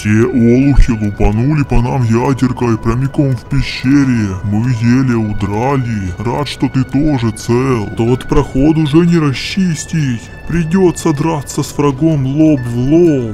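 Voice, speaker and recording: A man performs a cartoonish character voice at a medium pitch and moderate pace. Clear music plays in the background. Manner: commanding, rough.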